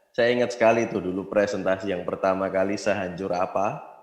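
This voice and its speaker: A man speaks at a moderate pace with a fairly low pitch. Audible room echo is present. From Indonesia, Yogyakarta. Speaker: network marketing distributor. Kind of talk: motivational business talk.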